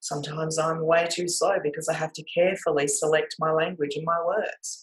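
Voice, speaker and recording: A woman with a very deep, low voice and an Australian accent, fairly quick and monotone, her intonation flat. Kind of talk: talk to camera. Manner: loud; variable pace.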